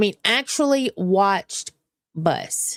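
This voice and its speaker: Speaking very slowly, a woman lets her pitch swing very widely. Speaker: streamer, drama commentary. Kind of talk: casual live stream commentary. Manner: halting.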